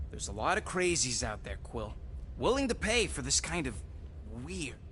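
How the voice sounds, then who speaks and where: Putting on a gruff character voice, a man speaks at a moderate pace against clear background noise. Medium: video game. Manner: gruff, slangy.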